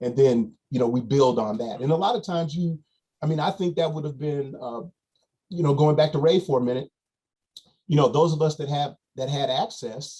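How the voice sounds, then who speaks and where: Dark and mellow in tone, a man's voice comes across as somewhat breathy. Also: fairly high pitch for a man, ordinary pitch variation, moderate pace. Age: 60s. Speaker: basketball coach. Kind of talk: podcast interview.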